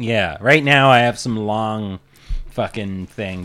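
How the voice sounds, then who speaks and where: Speaking with a plain, everyday voice, a man moves at a moderate pace, his intonation lively. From Kelowna, Canada. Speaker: stand-up comedian. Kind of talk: casual chat.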